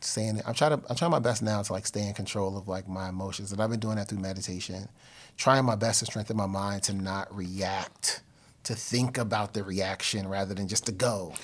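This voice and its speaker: Over a very clean recording with a silent background, a man with an ordinary speaking voice talks at a fairly quick pace in a fairly low pitch with fairly even intonation. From New Jersey (Elizabeth). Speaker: podcast host. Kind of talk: solo monologue; casual interview.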